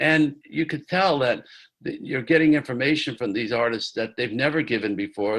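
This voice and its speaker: With an American accent and a normal speaking voice, a man talks at a fairly quick pace with lively intonation. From New York, Catskills. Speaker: music producer. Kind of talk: interview.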